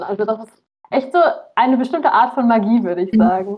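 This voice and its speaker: With fairly even intonation and a fairly high pitch, a woman talks in an unremarkable speaking voice. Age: 20s. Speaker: aspiring author. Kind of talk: casual interview chat.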